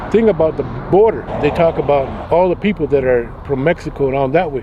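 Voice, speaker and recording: There is noticeable background noise behind a man with an American accent. His pitch is fairly high and swings very widely. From Arizona, Gila River reservation (Pima). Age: 70s. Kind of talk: interview.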